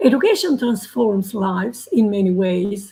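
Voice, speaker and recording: The tone is dark, mellow and somewhat breathy. The delivery moves at a fairly slow pace. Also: woman. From Albania. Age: 70s. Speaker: educator and teacher trainer. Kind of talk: panel discussion talk. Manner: halting, many fillers.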